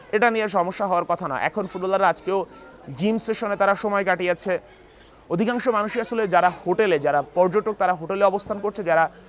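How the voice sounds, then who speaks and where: There is noticeable background noise as a man with a high pitch speaks in fairly even intonation. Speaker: news reporter. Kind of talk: field news report. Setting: on location in Kathmandu.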